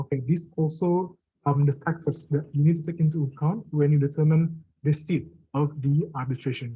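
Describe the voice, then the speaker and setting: At a moderate pace, the voice sounds somewhat breathy, with fairly even intonation. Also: man, fairly high pitch for a man. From Indonesia. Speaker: arbitration law lecturer. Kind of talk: lecture.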